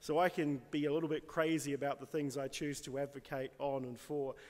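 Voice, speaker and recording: A man's fairly high-pitched voice with a New Zealand accent. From New Zealand (Māori). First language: Māori. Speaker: business leader and UN representative. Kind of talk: conference speech. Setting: conference audience. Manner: frequent fillers (um, uh).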